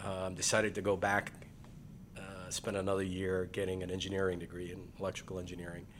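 A man speaks in a very deep, low voice. His intonation is flat and monotone, and the room echo is audible. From Guyana, moved to New York at 12. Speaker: builder and developer. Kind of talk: casual interview.

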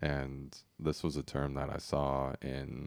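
Vocal fry is present throughout this man's speech. His pitch is very deep and low. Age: 30s. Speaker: podcast host. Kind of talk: casual interview chat.

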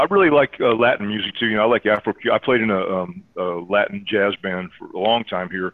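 A man with an American accent and a normal speaking voice, fairly low in pitch, at a fairly quick pace with hardly any pauses and ordinary pitch variation. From US South, Georgia (Air Force bases). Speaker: jazz pianist and teacher. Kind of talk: casual interview.

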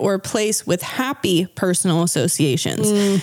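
A woman with an American accent in a plain, everyday voice, at a moderate pace with ordinary pitch variation. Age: 30s. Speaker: podcast co-host. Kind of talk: casual chat with scripted research segments.

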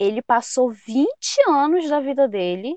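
The delivery is fairly slow with lively intonation. The sound is dry and close, with no echo. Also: woman. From Pará, northern Brazil. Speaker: psychology student. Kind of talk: interview.

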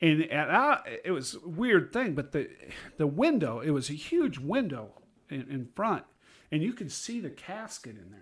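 This man speaks with an American accent at a moderate pace. His pitch swings very widely, and his loudness rises and falls sharply. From Iowa. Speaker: retired teacher. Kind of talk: casual chat.

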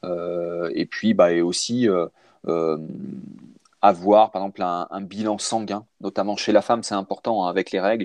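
With monotone, flat intonation, a man speaks at a moderate pace in a dry, close sound with no echo. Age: 40s. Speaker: cycling and triathlon coach. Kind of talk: casual interview. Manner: halting, many fillers.

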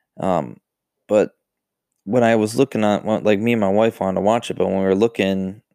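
A man's dark, mellow voice at a fairly quick pace, ordinary pitch variation, and a dry, close sound with no echo. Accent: Western New York. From US, Buffalo, New York. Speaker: podcast host. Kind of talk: casual solo talk. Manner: many fillers, halting.

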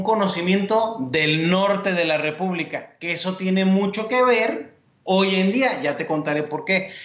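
A man's high-pitched voice at a moderate pace with ordinary pitch variation, over noticeable background noise. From Mexico (Mexico City, Sonora). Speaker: sports journalist and TV co-host. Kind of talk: interview, casual chat.

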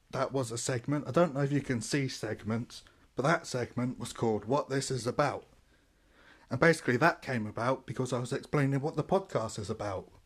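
Fairly quick, somewhat breathy speech in a southern English accent, with ordinary pitch variation against a quiet background. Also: man, medium pitch for a man. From Portsmouth, southern England. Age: 20s. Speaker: podcaster. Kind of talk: casual monologue. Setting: at family home in Deptford. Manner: halting.

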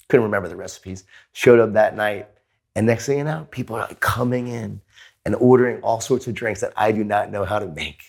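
Speaking fairly quickly in an unremarkable speaking voice, a man with an American accent has a medium pitch, ordinary pitch variation and big swings in loudness, on a very clean recording with a silent background. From New York (Queens). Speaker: author and keynote speaker. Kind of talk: interview conversation.

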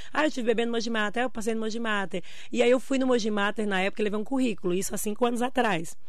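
Audible room echo surrounds a woman talking at a very fast pace. Her pitch is fairly high and her intonation fairly even. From Brazil, Bahia interior. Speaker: nutritionist. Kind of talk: radio interview.

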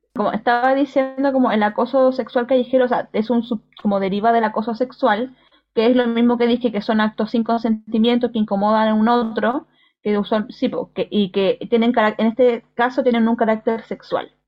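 A woman with a Chilean accent, her loudness very even, her intonation monotone and flat, at a moderate pace. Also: fairly high pitch for a woman. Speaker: podcast co-host. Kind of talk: casual chat.

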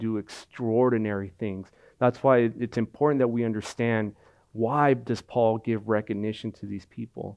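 This man talks at a medium pitch in a monotone, flat intonation. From Mexico or Mexican heritage. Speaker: pastor. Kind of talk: sermon. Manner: repetitive, halting with fillers.

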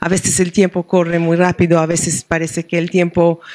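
A woman with a slight Argentine accent speaks at a fairly low pitch in a monotone, flat intonation. The sound is dry and close, with no echo. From Israel, Jerusalem. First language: Hebrew (speaking Spanish). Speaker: rabbi and professor of liturgy. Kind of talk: book presentation interview. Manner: halting, with frequent hesitations.

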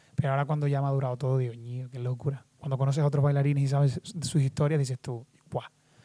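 A man talks at a very fast pace in a somewhat breathy, fairly high-pitched voice with a dark, mellow tone and monotone, flat intonation. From Canary Islands, Lanzarote. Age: 20s. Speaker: dancer and dance teacher. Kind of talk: casual interview chat.

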